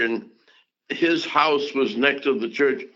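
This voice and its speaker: Speaking at a fairly slow pace, a man with a Southern US accent has a bright, sharp tone. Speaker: civil rights activist, pastor, politician, diplomat. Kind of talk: interview answer, reminiscing.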